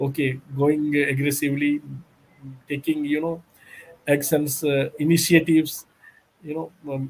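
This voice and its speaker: A man talks at a fairly slow pace, leaving long, frequent pauses. His fairly high voice stays monotone and flat. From India, Bihar. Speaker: company secretary. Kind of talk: interview. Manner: halting, many fillers.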